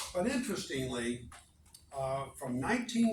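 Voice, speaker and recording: Audible room echo and noticeable background noise surround a man with a fairly high pitch. He speaks at a fairly slow pace, his pitch swinging very widely. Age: 70s. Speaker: archaeologist. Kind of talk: lecture. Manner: halting.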